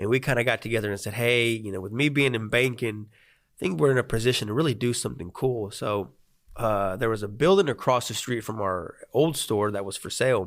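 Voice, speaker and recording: A man with a Spanish accent at a medium pitch and a fairly quick pace, with ordinary pitch variation and big swings in loudness. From Arkansas (Sherwood), born in Mexico. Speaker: banker and business owner. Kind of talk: interview.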